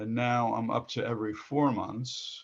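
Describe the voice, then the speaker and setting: This man talks at a fairly slow pace, his medium pitch moving with ordinary variation. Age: 60s. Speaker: customer giving testimonial. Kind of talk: interview testimony. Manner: halting.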